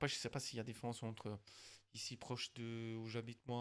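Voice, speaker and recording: A man with a slight Vaud accent speaks at a moderate pace and a medium pitch. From Switzerland, canton of Vaud, Italian family. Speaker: gaming streamer. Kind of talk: casual chat while gaming.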